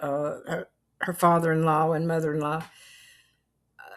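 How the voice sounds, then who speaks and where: The voice carries a North Carolina accent. The recording is very clean, with a silent background. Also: woman. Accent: Southern US (North Carolina). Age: 80s+. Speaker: vlogger. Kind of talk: casual chat.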